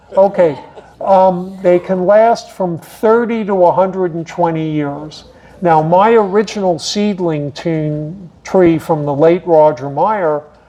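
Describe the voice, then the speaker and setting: A man speaks very slowly in a high voice. His pitch varies in an ordinary way, with noticeable background noise behind him. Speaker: horticulture speaker. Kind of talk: lecture. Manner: animated.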